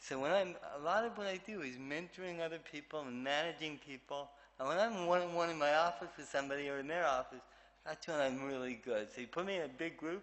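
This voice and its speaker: A man with a fairly high pitch talks at a very fast pace, his pitch rising and falling in an ordinary way. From Canada. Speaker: keynote speaker, physician and leader. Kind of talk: keynote speech. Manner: speech affected since childhood, people asked about it.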